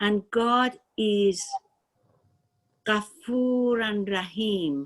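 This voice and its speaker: Very slowly, a woman with a Persian accent speaks at a fairly high pitch with ordinary pitch variation. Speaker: spiritual student. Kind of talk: personal testimony. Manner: halting.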